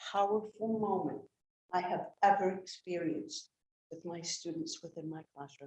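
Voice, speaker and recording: Ordinary pitch variation at a moderate pace. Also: woman. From Scotland. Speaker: English teacher. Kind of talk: public comment at board meeting. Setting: school board meeting. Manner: emotional, earnest.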